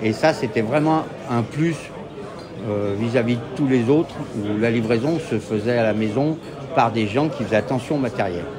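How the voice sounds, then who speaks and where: A man's medium-pitched voice at a moderate pace, with long, frequent pauses, ordinary pitch variation, audible room echo and music in the background. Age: 60s. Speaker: company director. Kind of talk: interview testimonial.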